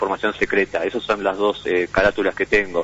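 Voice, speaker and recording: A man's fairly low pitch amid noticeable background noise. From Uruguay, Montevideo. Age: 40s. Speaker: imprisoned computer engineer, hacker. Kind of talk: interview. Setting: phone call.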